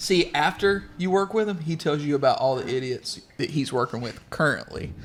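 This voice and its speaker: This man's voice sits at a fairly high pitch, moving at a moderate pace with lively intonation. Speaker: podcast co-host, racing crew member. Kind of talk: casual chat. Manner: loud.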